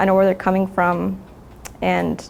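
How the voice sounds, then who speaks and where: A woman with a Spanish accent speaks at a fairly quick pace in a monotone, flat intonation, with vocal fry. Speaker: high school math teacher. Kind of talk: interview.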